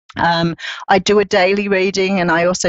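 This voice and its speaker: Her intonation fairly even, a woman speaks with an Australian accent. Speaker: psychic reader. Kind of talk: casual chat. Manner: hesitant, many fillers.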